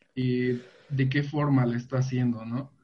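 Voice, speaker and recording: A man with a medium pitch speaks in a somewhat breathy, monotone voice with flat intonation. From Veracruz, Mexico. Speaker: LGBT youth activist. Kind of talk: panel discussion.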